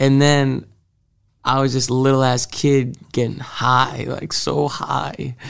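A man with an American accent, monotone and flat in intonation, at a very slow pace. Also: medium pitch for a man. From Massachusetts, Salem and Marblehead. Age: 20s. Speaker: rapper. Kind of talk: interview.

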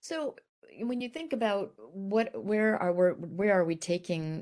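A woman with an American accent and an ordinary speaking voice talks at a moderate pace with ordinary pitch variation, over a quiet background. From grew up in Italy as a US military child. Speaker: army general and business executive. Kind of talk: interview. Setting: video call.

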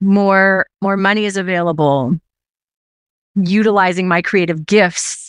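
A woman speaks in an animated tone at a moderate pace. The sound is dry and close with no echo, over a quiet background. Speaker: sales leader. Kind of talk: casual interview chat. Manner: animated, high energy.

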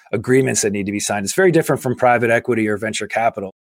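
An unremarkable speaking voice, a man with an American accent talks at a medium pitch with ordinary pitch variation on a very clean recording with a silent background. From Massachusetts, near Boston. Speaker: climate infrastructure investor. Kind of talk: interview.

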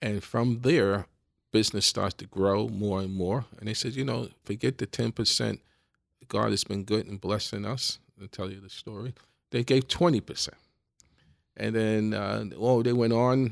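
A man with a New York accent speaks at a moderate pace and fairly low pitch, with ordinary pitch variation and big swings in loudness, in a dry, close sound with no echo and a very clean recording with a silent background. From New York City (the Bronx). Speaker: business executive. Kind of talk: interview conversation. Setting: in person, across from the host.

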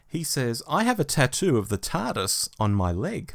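With an Australian accent, a man talks at medium pitch on a very clean recording with a silent background. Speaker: podcast co-host. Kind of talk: casual chat.

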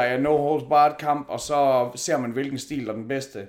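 Here is a man with an unremarkable speaking voice and fairly high pitch. He talks at a fairly slow pace with fairly even intonation. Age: 40s. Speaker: MMA commentator and event host, not a fighter. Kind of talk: casual chat.

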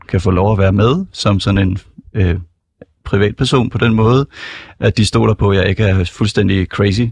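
A man speaks in a fairly low, somewhat breathy voice with fairly even intonation. The sound is dry and close with no echo, over a quiet background. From Copenhagen, Denmark. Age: 20s. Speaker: student stand-in radio host. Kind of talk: casual radio chat. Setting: radio studio.

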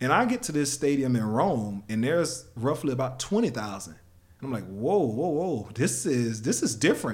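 A man with an American accent, somewhat breathy, with lively intonation and a moderate pace. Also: medium pitch for a man. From United States. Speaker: former professional sprinter, track analyst. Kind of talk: casual interview.

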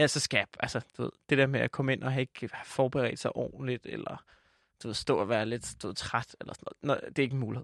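Recorded very cleanly against a silent background, a man talks at a very fast pace with a dry, close sound and no echo. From Jutland, Denmark. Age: 20s. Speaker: comedian and podcaster. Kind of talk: casual interview chat. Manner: rambling, hesitant, filler-heavy.

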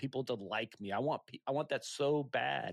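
Recorded very cleanly against a silent background, with dry, close sound and no echo, a man with a normal speaking voice talks at medium pitch and a moderate pace with ordinary pitch variation. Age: 40s. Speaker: entrepreneur and podcast host. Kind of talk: casual interview.

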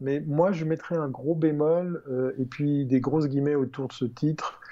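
This man has an unremarkable speaking voice, fairly high in pitch, and talks at a moderate pace. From Switzerland, canton of Vaud. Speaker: tech columnist. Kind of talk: casual chat.

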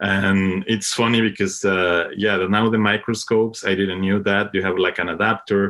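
In a Spanish accent, a man with a fairly low pitch speaks at a moderate pace in a monotone, flat intonation. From Mexico. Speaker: cinematographer. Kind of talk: interview. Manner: halting, frequent fillers and repetitions.

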